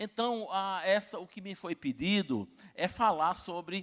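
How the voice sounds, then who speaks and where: The recording of a man's high-pitched voice is dry and close, with no echo. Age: 60s. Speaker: university rector and professor. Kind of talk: conference talk. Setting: stage with audience. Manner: halting, many fillers.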